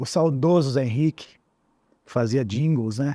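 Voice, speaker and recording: The voice has a dark, mellow tone at a moderate pace. The recording is very clean, dry and close, with a silent background and no echo. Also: man. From Paraíba Valley, São Paulo state (Lorena). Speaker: radio and TV announcer and presenter. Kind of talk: interview conversation. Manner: animated.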